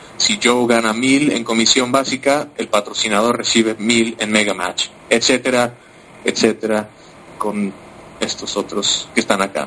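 Medium-pitched man with fairly even intonation, speaking at a fairly slow pace amid noticeable background noise. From Mexico. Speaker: compensation plan analyst. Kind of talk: business presentation. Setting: online conference.

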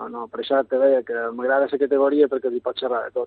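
With a Mallorcan accent, the speaker goes at a moderate pace. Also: man. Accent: Mallorcan Catalan. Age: 40s. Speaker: youth football coach. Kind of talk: radio interview. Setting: phone call.

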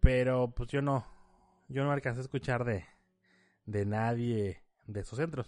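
Fairly slow delivery with ordinary pitch variation and long, frequent pauses. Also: man, medium pitch for a man. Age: 30s. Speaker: podcast host. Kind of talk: casual solo podcast monologue.

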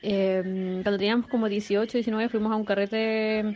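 A woman with a Chilean accent speaks at a fairly slow pace in a medium pitch. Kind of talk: casual chat. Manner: animated.

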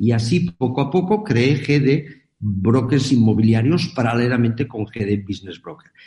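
Somewhat breathy and dark, mellow in tone, a man at a medium pitch speaks with lively intonation and hardly any pauses. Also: fairly slow pace. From Catalonia, Spain. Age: 70s. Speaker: business executive and author. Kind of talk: interview.

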